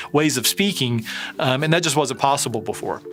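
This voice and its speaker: A man with a slight Southern US accent, very fast, fairly high-pitched, with ordinary pitch variation. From US South. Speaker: tech company CEO. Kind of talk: interview. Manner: hesitant with many fillers.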